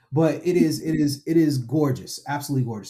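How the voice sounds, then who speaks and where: This man has a dark, mellow tone and an American accent. He talks at a fairly quick pace and sounds somewhat breathy. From Florida, US (Daytona Beach). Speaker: tech consultant, community speaker. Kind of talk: casual podcast chat. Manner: animated.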